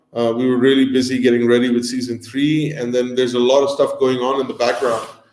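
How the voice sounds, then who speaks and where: A man's medium-pitched voice comes through with audible room echo. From North India, Delhi. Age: 40s. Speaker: food and travel show host. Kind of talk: live stream Q&A chat. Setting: live stream. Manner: casual, many fillers.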